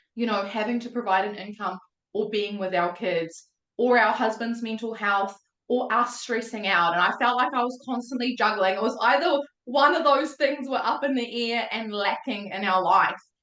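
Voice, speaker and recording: With a New Zealand accent, a woman speaks in an animated tone at a fairly high pitch with ordinary pitch variation. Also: moderate pace. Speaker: mindset coach. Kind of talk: testimony.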